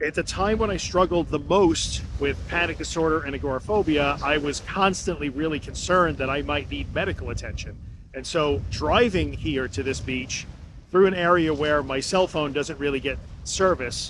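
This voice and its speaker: Noticeable background noise sits under the audio. A man talks, his pitch varying in an ordinary way. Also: moderate pace, dry sound with no echo. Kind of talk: casual podcast monologue. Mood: calm, reflective. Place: beach. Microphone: phone near.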